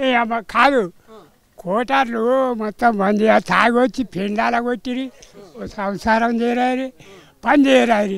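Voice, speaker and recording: Fairly even intonation carries this man's extremely high pitch. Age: old. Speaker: former toddy tapper. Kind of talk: street interview answer.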